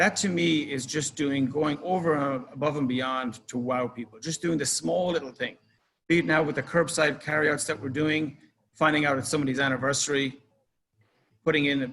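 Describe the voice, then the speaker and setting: Speaking with an Irish accent, a man moves at a fairly quick pace. His pitch is fairly high, with ordinary variation. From Ireland. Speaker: club manager. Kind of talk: presentation. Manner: casual.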